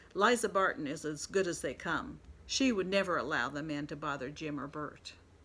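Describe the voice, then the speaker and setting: A gruff, put-on character voice speaks at a middle pitch and moderate pace. The recording is very clean with a silent background. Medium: read story. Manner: gruff, hurried.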